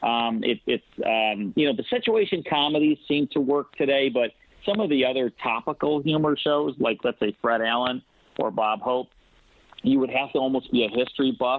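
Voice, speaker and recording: A man with a normal speaking voice talks at a moderate pace and medium pitch, his intonation lively and his loudness very even. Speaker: old-time radio producer, actor, director and syndicated radio host. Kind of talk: interview answer about old-time radio.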